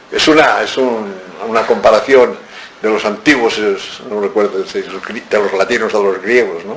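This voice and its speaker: Noticeable background noise behind a man's fairly low voice. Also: ordinary pitch variation, moderate pace. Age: 70s. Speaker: author. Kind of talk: book talk. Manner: animated.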